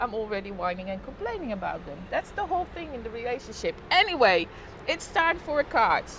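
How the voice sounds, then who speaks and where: Over noticeable background noise, a woman with a Dutch accent talks at a fairly quick pace and high pitch, with very wide pitch swings and big swings in loudness. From Netherlands. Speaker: live streamer. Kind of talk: casual chat. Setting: live stream on balcony.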